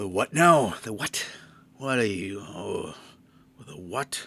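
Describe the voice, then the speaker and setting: Using a put-on character voice, a man speaks gruffly at a fairly low pitch and a fairly slow pace. His pitch swings very widely and his loudness shifts in big swings. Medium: actual play. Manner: gruff, matter-of-fact.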